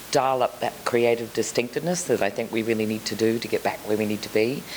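The speaker talks with an Australian accent. Noticeable background noise runs through the clip. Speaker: children's TV programming executive. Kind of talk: conference panel discussion.

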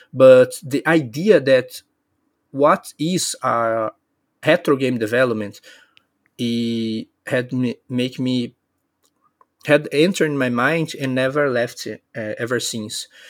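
In a Brazilian accent, a man talks at a medium pitch with ordinary pitch variation, at a very slow pace with long, frequent pauses. The recording is very clean, with a silent background. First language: Portuguese. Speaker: indie game developer. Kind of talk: podcast interview. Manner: halting.

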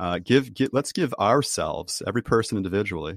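A man at a medium pitch speaks with lively intonation, the sound dry and close with no echo and the background quiet. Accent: American. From US, Boston. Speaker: author and team trainer. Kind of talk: interview. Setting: video call.

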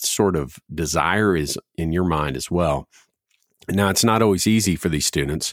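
Dry and close with no echo, a man with a very deep, low pitch and vocal fry speaks at a fairly slow pace with ordinary pitch variation. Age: 40s. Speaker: student ministry director, podcast host. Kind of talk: casual chat.

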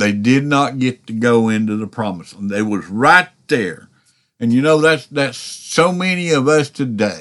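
A medium-pitched male voice at a moderate pace, with lively intonation. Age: 60s. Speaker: podcast preacher. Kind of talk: sermon. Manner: halting.

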